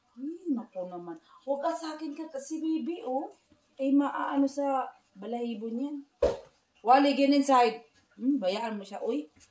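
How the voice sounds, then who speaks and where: A woman speaks at a fairly slow pace in a high voice, her loudness swinging widely and her intonation lively. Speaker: home vlogger. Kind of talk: casual chat.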